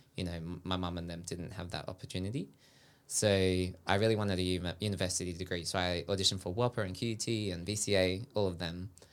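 On a very clean recording with a silent background, a man speaks with a very deep, low pitch. His pace is very fast and his intonation fairly even. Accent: Australian. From Sydney, Australia. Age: 20s. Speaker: dancer. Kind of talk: casual chat. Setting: studio.

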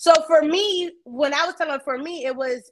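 Delivered at a moderate pace, this voice has lively intonation and an American accent. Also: woman. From Brooklyn, then US South. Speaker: radio host. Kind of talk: casual banter, talk show.

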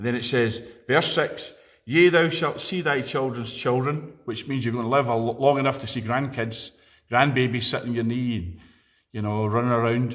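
In a Scottish accent, a man speaks at a moderate pace with ordinary pitch variation. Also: medium pitch for a man. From Scotland (Edinburgh). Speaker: preacher. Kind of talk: sermon.

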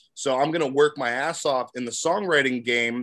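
A man speaks in an ordinary speaking voice with an American accent, at a fairly quick pace and a fairly high pitch. The recording is very clean, with a silent background. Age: 30s. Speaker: songwriter and producer. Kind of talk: casual interview.

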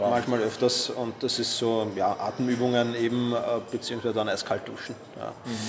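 Over noticeable background noise, a man with a Viennese accent speaks at medium pitch and a moderate pace in a flat monotone. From Austria, Vienna. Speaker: productivity expert and author. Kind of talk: interview. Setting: hotel lobby.

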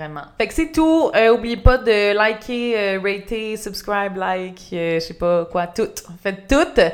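In a Quebec accent, a woman talks with lively intonation. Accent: Québécois French. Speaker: podcast host and YouTuber. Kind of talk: casual chat. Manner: relaxing.

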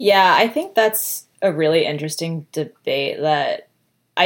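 At a moderate pace, a woman with a fairly low voice and an American accent talks with ordinary pitch variation. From US Northeast, Connecticut. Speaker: product designer and writer. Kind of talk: interview conversation. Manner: chatty.

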